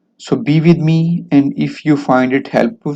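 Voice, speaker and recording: A man's dark, mellow voice at a very slow pace. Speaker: medical lecturer. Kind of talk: lecture. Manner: halting, many fillers.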